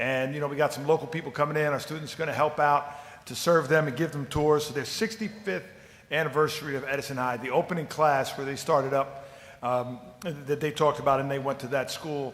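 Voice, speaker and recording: With a fairly high pitch, a man talks at a fairly quick pace. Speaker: public commenter at school board meeting. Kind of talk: public comment speech. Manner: fast; enthusiastic.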